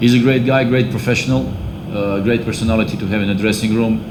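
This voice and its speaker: In a space with audible room echo and noticeable background noise, a man talks at a fairly low pitch with ordinary pitch variation. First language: non-English. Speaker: football head coach. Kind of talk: press conference. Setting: press conference. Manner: hesitant, many fillers.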